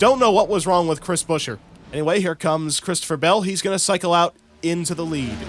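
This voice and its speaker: Over music in the background, a man speaks at a very fast pace in an animated tone and a high pitch. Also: ordinary pitch variation. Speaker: sim racing YouTuber doing commentary. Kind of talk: mock race broadcast commentary. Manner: casual, animated play-by-play.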